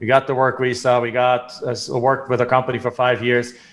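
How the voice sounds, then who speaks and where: A man with a German accent talks at a fairly quick pace in a medium pitch. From Germany. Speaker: real estate investor. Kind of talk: podcast interview.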